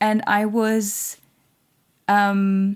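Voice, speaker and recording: This woman has a non-native accent and a fairly high pitch. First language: not English. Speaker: tarot reader. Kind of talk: channeled tarot reading monologue. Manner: halting, many fillers.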